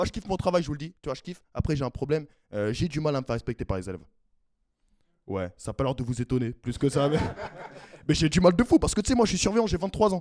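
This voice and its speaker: A man with a fairly high voice talks at a very fast clip in an animated tone, his pitch swinging very widely, broken by long, frequent pauses, in a dry, close recording with no echo. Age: 20s. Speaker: stand-up comedian. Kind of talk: stand-up. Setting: stage with audience.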